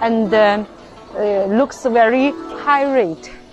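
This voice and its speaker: Soft music can be heard far behind. Over it, a woman talks. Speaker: sales representative. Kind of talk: product demonstration. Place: factory.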